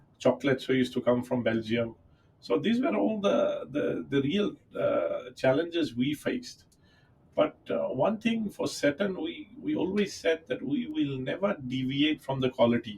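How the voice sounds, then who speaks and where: With noticeable noise in the background, a man keeps a moderate pace. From Fiji, Indian community. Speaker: company founder. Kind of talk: podcast interview. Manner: halting, many fillers.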